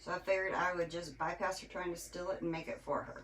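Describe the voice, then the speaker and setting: Loud and at a moderate pace, a woman speaks in a medium pitch. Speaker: crafter and livestream host. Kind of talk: live craft tutorial. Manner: casual, chatty.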